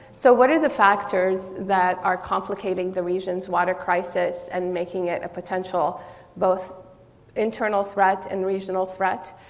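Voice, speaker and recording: Against noticeable background noise and audible room echo, a woman talks at a medium pitch with fairly even intonation. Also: moderate pace. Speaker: political science professor. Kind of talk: conference talk. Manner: loud; some hesitations.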